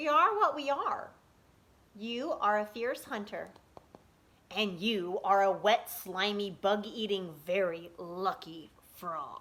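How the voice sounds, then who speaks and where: Using a put-on character voice, a woman of medium pitch speaks at a fairly slow pace with long, frequent pauses. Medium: read story. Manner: menacing, smug.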